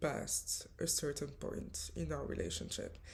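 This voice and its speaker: A woman with a French accent. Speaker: spiritual coach. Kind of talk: storytelling vlog. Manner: hesitant, many fillers.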